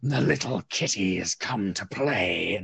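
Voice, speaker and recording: Putting on a character voice, a man speaks at a fairly slow pace with fairly low pitch. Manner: menacing.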